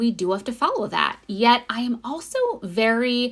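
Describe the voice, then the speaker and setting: Fairly slow pace against noticeable background noise. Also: woman. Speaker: spiritual guide and podcast host. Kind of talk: channeled spiritual monologue. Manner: unscripted, sometimes fumbling.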